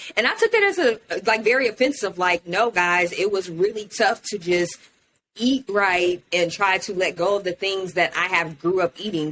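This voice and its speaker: A woman's plain, everyday voice with an American accent, medium in pitch, with ordinary pitch variation and a moderate pace. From Houston, Texas. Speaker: podcast host. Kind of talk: casual chat.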